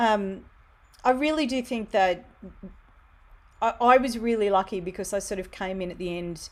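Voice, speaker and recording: A woman at medium pitch and a moderate pace, with ordinary pitch variation, big swings in loudness and long, frequent pauses, on a very clean recording with a silent background. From Australia, Wollongong. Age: 40s. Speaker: theatremaker and writer. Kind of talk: casual interview chat. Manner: animated.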